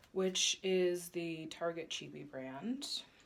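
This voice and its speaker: A woman with an American accent, medium pitch and lively intonation, at a very slow pace over noticeable background noise. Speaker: fertility vlogger. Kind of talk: casual vlog.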